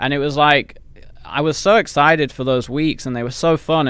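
With an English accent, a man talks at a moderate pace and ordinary pitch variation. The recording is very clean, with a silent background. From England. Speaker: business owner. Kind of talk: casual interview chat. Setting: office, video recording.

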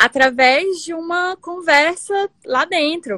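Heard as dry and close with no echo, the voice has lively intonation. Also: woman. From Brasília, Brazil. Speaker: environmental consultant and community creator. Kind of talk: casual interview on live stream. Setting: home office, live video.

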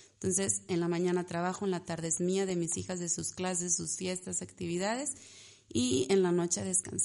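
In a dark, mellow tone, a woman with a fairly low pitch speaks at a fairly quick pace. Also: ordinary pitch variation. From Mexico, Ciudad Victoria, Tamaulipas. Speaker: pastry chef and entrepreneur. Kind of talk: casual chat.

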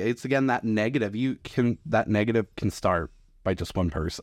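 In an ordinary speaking voice, the speaker uses lively intonation at a moderate pace, recorded dry and close with no echo against a quiet background. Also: man. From US West. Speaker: wedding venue manager. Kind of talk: casual chat.

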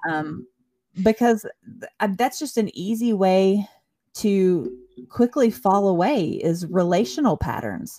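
In a Southern US accent, a woman speaks very slowly at a medium pitch. Her tone is dark and mellow, with very wide pitch swings. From US South, Chattanooga, Tennessee. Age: 40s. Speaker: ministry worker. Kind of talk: testimony. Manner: halting.

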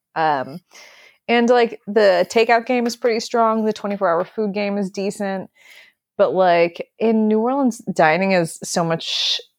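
On a very clean recording with a silent background, a woman with an American accent uses an ordinary speaking voice, lively intonation and a moderate pace. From US Midwest, Wisconsin. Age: 20s. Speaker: butcher. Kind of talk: casual chat.

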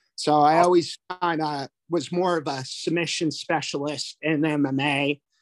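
A man with a Canadian accent speaks fairly slowly at a fairly high pitch, in a monotone, flat manner. The sound is dry and close with no echo, on a very clean recording with a silent background. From Canada, New Brunswick (Fredericton). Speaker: jiu-jitsu instructor. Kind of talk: casual chat.

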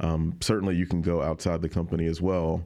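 A man speaks very fast in a very deep, low pitch with a dark, mellow tone. His intonation is monotone and flat. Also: quiet background. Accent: Alabama. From rural Alabama, north of Montgomery. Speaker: TV news reporter. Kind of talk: casual interview chat.

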